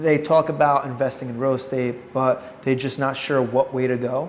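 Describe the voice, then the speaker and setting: Noticeable background noise sits behind a man with a medium pitch. He speaks at a moderate pace with fairly even intonation. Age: 20s. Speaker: podcast host. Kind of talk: casual interview.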